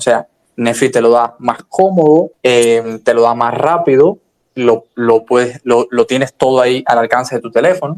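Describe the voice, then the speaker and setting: In a dry, close sound with no echo, a man talks at a moderate pace and medium pitch with ordinary pitch variation. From Cuba. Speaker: libertarian commentator. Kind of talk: casual discussion in an audio chat room. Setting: online audio chat room. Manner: hesitant with frequent fillers.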